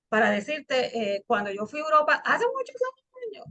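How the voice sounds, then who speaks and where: Her pace is moderate. The woman's tone is bright and sharp. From Puerto Rico. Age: 60s. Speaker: interviewer, channel host. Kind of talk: interview conversation.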